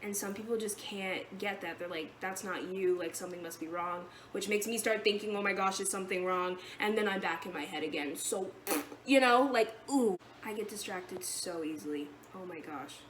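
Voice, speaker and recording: A woman at medium pitch speaks with big swings in loudness, and room echo is audible. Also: ordinary pitch variation, fairly quick pace. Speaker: vlogger sharing eating disorder treatment experience. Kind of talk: casual vlog monologue. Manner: fast; rambling, jumping between topics.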